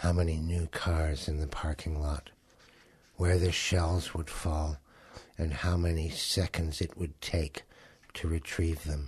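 A man whispering in a Canadian accent, somewhat breathy, with long, frequent pauses. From Canada. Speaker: poet. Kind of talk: poetry reading. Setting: studio. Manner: contained, often whispered; halting.

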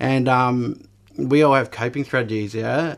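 A man talks with an Australian accent. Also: very clean recording, silent background. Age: 30s. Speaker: mental health peer worker and advocate. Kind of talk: radio interview, personal testimony. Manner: hesitant, many fillers.

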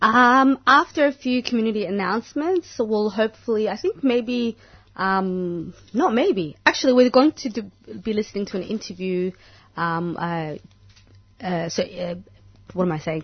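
A woman with lively intonation talks at a moderate pace in an ordinary speaking voice. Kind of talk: radio presenter patter. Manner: bubbly, laughing, friendly.

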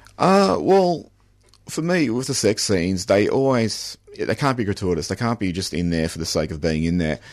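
An Australian-accented man with a fairly low pitch moves through very wide pitch swings against a quiet background. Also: moderate pace. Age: 40s. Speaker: novelist. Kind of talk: radio interview.

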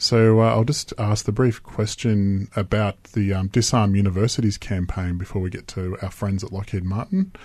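A man with an Australian accent, fairly low in pitch, with a dark, mellow tone, fairly even intonation and a moderate pace. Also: quiet background. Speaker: radio host. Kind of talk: radio DJ patter. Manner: casual, laid-back.

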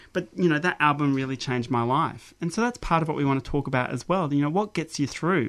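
Against a quiet background, a man with a fairly high voice talks at a very fast pace with lively intonation. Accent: Australian. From South Australia, Mount Gambier. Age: 40s. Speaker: academic researcher. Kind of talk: radio interview.

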